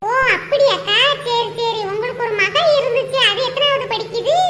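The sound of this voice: In a squeaky, cartoonish character voice, a woman speaks at an extremely high pitch. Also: moderate pace.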